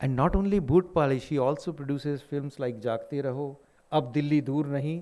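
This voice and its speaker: A man with a fairly high pitch talks in an ordinary speaking voice at a moderate pace, with ordinary pitch variation. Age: 60s. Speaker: lecturer. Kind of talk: lecture. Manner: formal.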